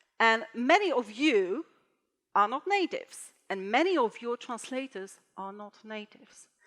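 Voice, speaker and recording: A high-pitched woman at a fairly slow pace, her pitch swinging very widely, in a dry, close sound with no echo. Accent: Polish. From Poland. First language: Polish. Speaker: translator and conference speaker. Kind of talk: conference talk. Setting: stage with audience. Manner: halting.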